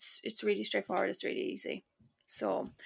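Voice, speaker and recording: A woman with an Irish accent on a very clean recording with a silent background. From Ireland, Cork. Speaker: author. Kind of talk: casual chat.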